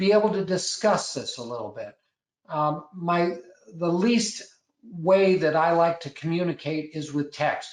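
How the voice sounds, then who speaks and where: A man speaks at a high pitch. His pace is fairly slow. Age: 60s. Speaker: landlord and property manager. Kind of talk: webinar presentation. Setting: online webinar. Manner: halting, frequent word repetitions.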